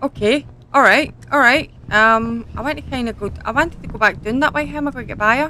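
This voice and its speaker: Speaking with a Scottish accent at a very fast pace, a woman uses a high pitch and big swings in loudness over light background noise. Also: ordinary pitch variation, dry sound with no echo. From Scotland. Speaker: gaming YouTuber. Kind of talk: gameplay commentary. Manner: animated.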